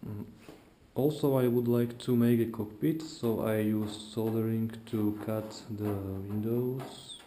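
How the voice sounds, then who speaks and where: At a very slow pace, a man with a non-native accent speaks at medium pitch with fairly even intonation and a dark, mellow tone, and audible room echo surrounds him. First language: not English. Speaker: hobbyist YouTuber. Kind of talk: tutorial. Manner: halting.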